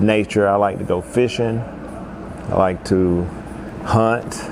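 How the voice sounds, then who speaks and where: Through noticeable background noise, a man with a western North Carolina accent speaks at a fairly low pitch with ordinary pitch variation. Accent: Southern US (western North Carolina). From US South, Asheville, North Carolina. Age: 60s. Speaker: musician and festival organizer. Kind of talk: personal life story monologue. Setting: indoors at a historic arcade.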